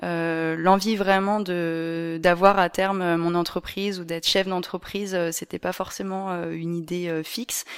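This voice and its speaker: A woman's monotone, flat delivery at a very slow pace with hardly any pauses. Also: fairly low pitch for a woman. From Paris region, France. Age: 20s. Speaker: event venue owner. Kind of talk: interview. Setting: at her home venue.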